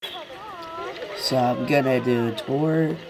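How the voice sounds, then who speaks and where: A man at a very slow pace, with audible room echo. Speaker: gaming video creator. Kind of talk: casual game walkthrough. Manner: casual, hesitant.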